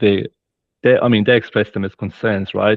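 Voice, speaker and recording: A man with a non-native accent speaks at a fairly low pitch in a flat, monotone delivery. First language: not English. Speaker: safety practitioner, former frontline worker. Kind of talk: webinar discussion.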